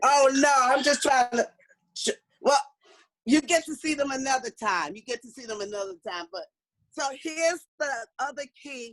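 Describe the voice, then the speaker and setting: In a dry, close sound with no echo, a high-pitched woman speaks at a moderate pace with lively intonation, an animated tone, big swings in loudness, and long, frequent pauses. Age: 60s. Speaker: motivational speaker. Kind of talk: workshop talk.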